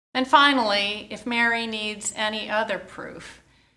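Someone reads aloud in a natural voice, keeping the intonation fairly even.

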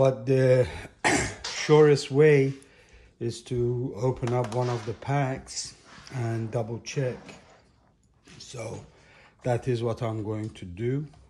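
A man's somewhat breathy voice with a dark, mellow tone and fairly even intonation, at a very slow pace with long, frequent pauses and light background noise. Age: 60s. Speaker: electric unicycle youtuber. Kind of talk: tutorial. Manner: halting. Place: kitchen. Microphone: phone near.

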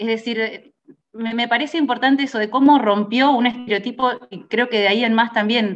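The speaker has a Rioplatense accent and ordinary pitch variation. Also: woman. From Argentina. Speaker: radio journalist. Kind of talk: interview. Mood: warm, friendly. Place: home room. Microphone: video call.

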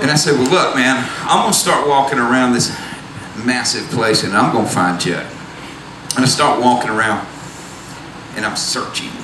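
Over noticeable background noise, a man with a Southern US accent talks at a moderate pace in a medium-pitched voice, with ordinary pitch variation and long, frequent pauses. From US South. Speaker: storyteller. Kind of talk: stage storytelling. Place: stage. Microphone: handheld.

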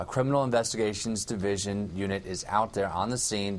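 Fairly low pitch and ordinary pitch variation in a man's speech. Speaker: news reporter. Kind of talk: live news report. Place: office.

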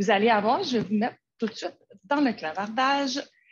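At a moderate pace, a woman with a Quebec accent speaks in a fairly high pitch with ordinary pitch variation. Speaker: educational technology advisor. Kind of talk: webinar presentation.

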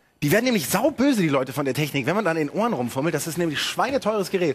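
A man speaks at a very fast pace in an animated tone. His pitch makes very wide swings. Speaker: TV gaming show host. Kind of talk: live TV show presentation. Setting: TV studio. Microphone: headset.

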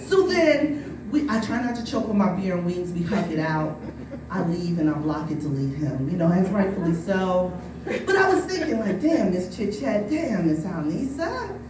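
A woman speaks at a moderate pace with a fairly low pitch and lively intonation. Clear background noise and audible room echo surround her voice.

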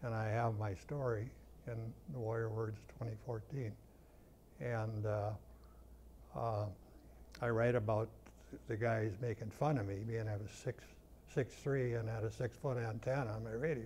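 A man's somewhat breathy voice with a dark, mellow tone, fairly even intonation and long, frequent pauses, over light background noise. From North Dakota. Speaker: war veteran. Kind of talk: interview answer. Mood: reflective, sober war memories. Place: studio.

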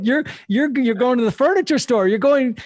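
Against a quiet background, a man talks at a fairly quick pace, the sound dry with no echo. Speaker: podcast host. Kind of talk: podcast interview talk. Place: home room. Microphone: studio mic.

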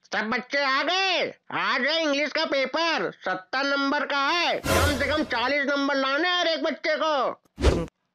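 Someone shouts at a high pitch and a moderate pace. There are hardly any pauses. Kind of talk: comic overacting. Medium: comedy sketch. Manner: bossy, threatening, shouting.

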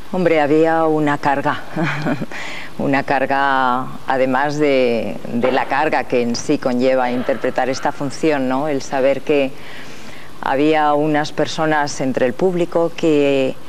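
Over light background noise, a woman with a very deep, low pitch talks at a very slow pace, her intonation fairly even and her loudness very even. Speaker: actress interview guest. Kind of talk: interview answer. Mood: earnest, reflective. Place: studio. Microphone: lapel.

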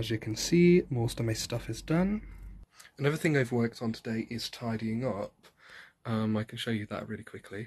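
A man speaks at a moderate pace and medium pitch with ordinary pitch variation. His tone is slightly mellow with a slightly husky edge.

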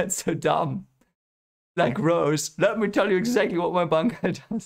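At a fairly slow pace and with vocal fry, a man speaks with ordinary pitch variation against a quiet background. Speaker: reaction video host. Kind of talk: casual reaction commentary. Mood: amused, playful. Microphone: headset.

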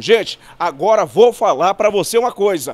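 Here a man is talking. His voice is high-pitched for a man. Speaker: TV advertorial presenter. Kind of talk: on-location retail sales pitch, price-by-price product showcase. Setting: on location inside a store. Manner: hyped, rapid-fire pitchman hammering 'olha só' and 'apenas R$'; chummy, beckoning the viewer in as 'gente amiga'. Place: shop. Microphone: handheld.

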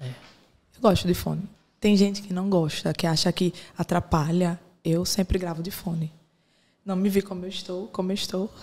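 A woman speaks at a medium pitch with a dark, mellow tone and a somewhat breathy quality. Her loudness swings widely. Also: moderate pace. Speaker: podcast interviewer. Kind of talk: casual chat; interview. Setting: studio, wearing headphones.

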